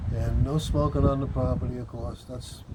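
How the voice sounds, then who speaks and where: Noticeable background noise fills the recording. A man talks through it with audible room echo. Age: 60s. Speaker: cannabis vlogger. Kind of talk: casual vlog monologue.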